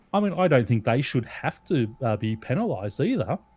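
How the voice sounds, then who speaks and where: A man talks at a moderate pace, pitched in the middle range. It is a plain, everyday voice. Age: 40s. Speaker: podcast host. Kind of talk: casual chat.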